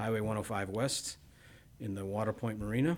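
A man with a normal speaking voice talks at medium pitch with fairly even intonation. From Texas (Bryan), moved from Midwest at seven. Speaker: restaurant owner. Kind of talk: casual chat. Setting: studio.

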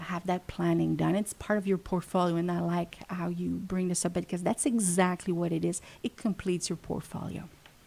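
In a Quebec accent, a woman speaks at a fairly quick pace with hardly any pauses, her fairly low voice dark and mellow in tone, the intonation monotone and flat. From Quebec, Montreal. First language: French. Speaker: funeral home family services manager. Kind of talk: radio interview. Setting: radio studio.

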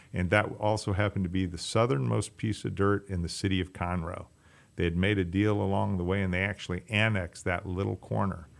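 Fairly quick speech with an American accent and ordinary pitch variation. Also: man, very deep, low pitch for a man. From US Midwest, Chicago area. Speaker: restaurant owner. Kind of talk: interview. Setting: radio studio. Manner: halting, many fillers.

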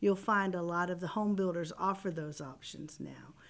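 A woman with an American accent has an ordinary speaking voice, a medium pitch, ordinary pitch variation and a moderate pace. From Texas, The Woodlands area. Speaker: real estate development representative. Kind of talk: radio interview. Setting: radio studio.

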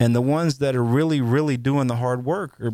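At a moderate pace, a man talks with a dark, mellow tone, medium pitch and ordinary pitch variation. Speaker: ministry leader for veterans. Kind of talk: radio interview, conversational. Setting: studio.

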